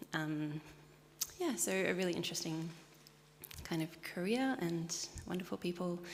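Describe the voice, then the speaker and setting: With an Australian accent, a woman at fairly low pitch talks at a moderate pace with ordinary pitch variation, very even loudness, and long, frequent pauses. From Sydney, Australia. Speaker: churchgoer. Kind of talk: interview.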